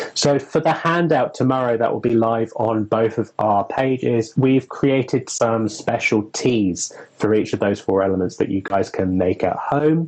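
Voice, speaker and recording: Against noticeable background noise, a man with a medium pitch speaks at a moderate pace with very even loudness and ordinary pitch variation. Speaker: witch and occult herbalism presenter. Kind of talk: casual educational discussion. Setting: Instagram live video stream.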